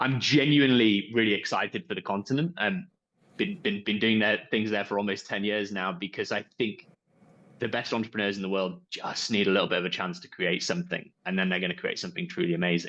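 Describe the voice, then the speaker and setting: Very fast, lively speech from a man with a Yorkshire accent and a fairly low pitch. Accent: Yorkshire accent, noticeable. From northern England, Yorkshire. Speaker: entrepreneur, company founder. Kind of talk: panel discussion.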